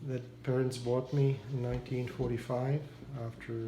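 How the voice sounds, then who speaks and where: At a moderate pace, a man with a medium pitch talks in a monotone, flat intonation, with audible room echo. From Czechoslovakia (Prague). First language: Czech. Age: 70s. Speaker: war survivor interviewee. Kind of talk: interview. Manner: halting.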